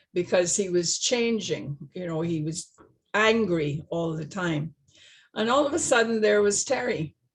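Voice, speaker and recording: A woman's fairly low, somewhat breathy voice at a fairly slow pace with lively intonation. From Barbados. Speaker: retired nurse. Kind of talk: personal testimony. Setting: video call. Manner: halting.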